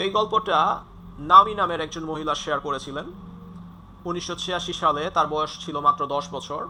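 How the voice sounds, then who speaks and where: This man has a high pitch and fairly even intonation, with big swings in loudness. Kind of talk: horror story narration to camera, casual. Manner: conversational, with filler words.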